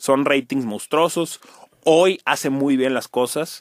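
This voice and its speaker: Speaking at a moderate pace with a Monterrey accent, a man has a fairly high pitch, and the sound is dry and close with no echo. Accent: Monterrey (regio). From Mexico, Monterrey. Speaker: sports journalist. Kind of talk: casual chat. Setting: podcast studio. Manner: animated.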